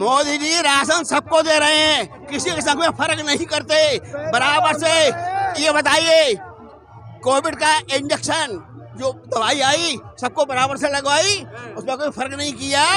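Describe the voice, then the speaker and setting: The voice is raised and projected, with fairly even intonation. Crowd noise fills the background. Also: man, extremely high pitch for a man. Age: 60s. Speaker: street interviewee, teacher. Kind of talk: heated debate.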